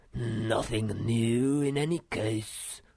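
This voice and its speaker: Putting on a character voice, a man speaks in a medium pitch with fairly even intonation. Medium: read story. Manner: gloomy, pedantic.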